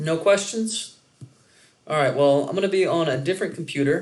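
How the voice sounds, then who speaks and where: A man talks with ordinary pitch variation, his voice carrying audible room echo. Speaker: economics instructor. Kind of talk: lecture. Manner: loud.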